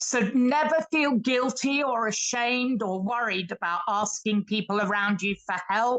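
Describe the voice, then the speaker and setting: Spoken at a fairly slow pace with a British accent, the voice shows ordinary pitch variation. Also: woman, fairly high pitch for a woman. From Britain. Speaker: participant in live online lecture. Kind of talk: audience contribution in live online lecture. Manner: hesitant, with fillers.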